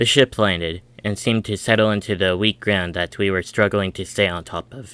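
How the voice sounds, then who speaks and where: Bright, sharp tone at a moderate pace, with fairly even intonation and a dry, close sound with no echo. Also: man. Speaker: audiobook narrator reading a story. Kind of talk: audiobook narration, first-person young child character.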